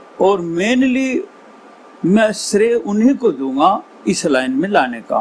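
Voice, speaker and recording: Over noticeable background noise, a man speaks at a high pitch for a man, with very wide pitch swings. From western Uttar Pradesh, Baghpat district. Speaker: Haryanvi ragni folk singer. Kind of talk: interview answer.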